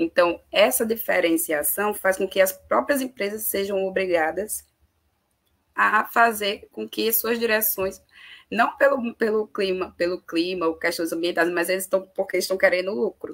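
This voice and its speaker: A woman at a medium pitch, with ordinary pitch variation and a fairly slow pace. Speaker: panelist on climate and migration. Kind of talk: online panel discussion. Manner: hesitant, many fillers.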